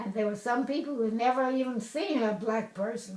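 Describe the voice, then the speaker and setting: Noticeable background noise sits under a woman's voice, which varies in pitch in an ordinary way. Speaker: former University of Michigan student. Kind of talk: interview answer.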